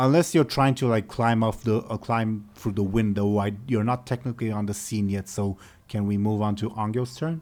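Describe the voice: What comes through is someone plainly reading aloud.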